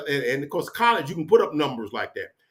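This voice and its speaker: The speaker is a man with a fairly high pitch. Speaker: sports fan YouTuber. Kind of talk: casual solo livestream chat. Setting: home office. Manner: loud; casual, rambling with fillers.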